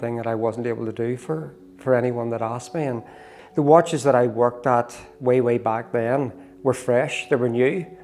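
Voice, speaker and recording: Someone with a Northern Irish accent talks at a fairly quick pace while music plays in the background. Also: man. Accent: Northern Irish (Belfast). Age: 60s. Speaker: watchmaker and amateur cyclist. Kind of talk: interview.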